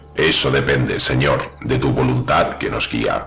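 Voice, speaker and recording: A man uses a put-on, robotic character voice at a moderate pace. Clear music plays in the background. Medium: read story. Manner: flat, obedient.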